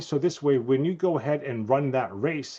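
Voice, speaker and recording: A man with a New Jersey accent talks at a fairly quick pace in a fairly high pitch with ordinary pitch variation, against a quiet background. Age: 50s. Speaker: chiropractor. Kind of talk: interview.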